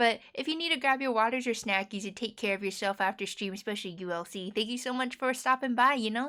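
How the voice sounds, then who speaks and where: A woman's very fast, fairly high-pitched voice in an American accent, bright and sharp in tone, with ordinary pitch variation and hardly any pauses. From United States. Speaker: variety game streamer. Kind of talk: casual live-stream chat. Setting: live stream at night. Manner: animated.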